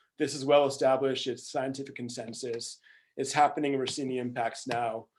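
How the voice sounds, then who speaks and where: A man's fairly quick, monotone, flat delivery at medium pitch, on a very clean recording with a silent background. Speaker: climate finance presenter. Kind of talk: presentation. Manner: fast; hesitant, many ums.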